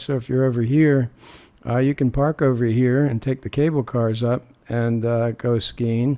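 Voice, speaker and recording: The voice has a dark, mellow tone and a relaxed tone, moving at a fairly slow pace with fairly even intonation. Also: man. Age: 60s. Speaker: travel vlogger. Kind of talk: video narration of travel footage. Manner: relaxed, many filler words.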